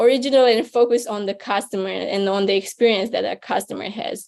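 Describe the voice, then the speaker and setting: In a non-native accent, a woman speaks at a fairly high pitch with fairly even intonation. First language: not English. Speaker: venture capital investor, speaker. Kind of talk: webinar talk. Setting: online webinar.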